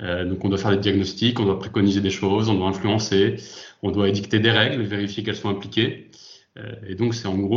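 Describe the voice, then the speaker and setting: A somewhat breathy voice talks at a fairly quick pace with monotone, flat intonation and audible room echo. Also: man. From France, Lyon. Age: 30s. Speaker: industrial safety manager. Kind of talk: interview. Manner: hesitant, many fillers.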